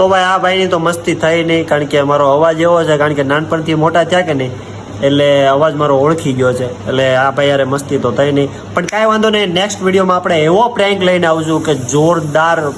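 Over noticeable background noise and audible room echo, a man speaks at a fairly high pitch with ordinary pitch variation and very even loudness. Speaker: vlogger. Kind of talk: prank phone call.

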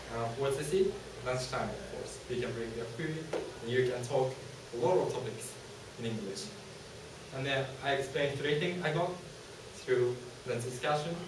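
With a Japanese accent, a man speaks at a moderate pace with ordinary pitch variation, amid noticeable background noise and audible room echo. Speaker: university student presenter. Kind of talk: student presentation. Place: classroom. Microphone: camera far.

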